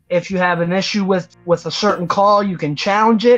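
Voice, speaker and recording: Pitch varies in an ordinary way as a woman speaks. Her pace is moderate. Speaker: trivia show host. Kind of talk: game show hosting. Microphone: video call.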